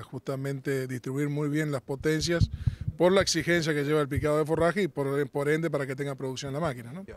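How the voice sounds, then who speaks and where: This man has an unremarkable speaking voice, fairly high in pitch, with fairly even intonation. The sound is dry with no echo, over light background noise. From Argentina. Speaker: farm machinery sales representative; sales representative. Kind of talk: trade show interview. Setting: trade exhibition. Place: open country. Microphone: handheld.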